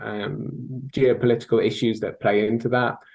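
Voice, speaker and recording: Moderate-paced speech from a man in a strong British accent, with fairly even intonation. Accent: thick British. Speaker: sales technology consultant. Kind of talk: interview.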